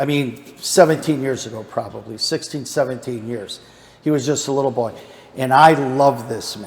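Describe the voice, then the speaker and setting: A plain, everyday voice at a moderate pace. The pitch varies in an ordinary way. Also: man. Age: 60s. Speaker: Bible study teacher. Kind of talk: Bible study lesson.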